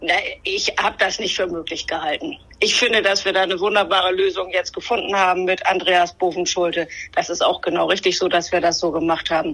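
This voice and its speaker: An unremarkable speaking voice from a woman, medium in pitch, fairly quick in pace, with fairly even intonation. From northern Germany, Bremen-Nord. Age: 50s. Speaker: politician. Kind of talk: interview. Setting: remote connection.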